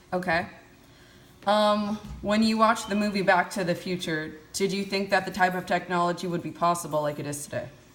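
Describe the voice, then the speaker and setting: A woman with a medium pitch talks at a fairly quick pace in an ordinary speaking voice, her intonation fairly even. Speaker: college student interviewer. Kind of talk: interview questions.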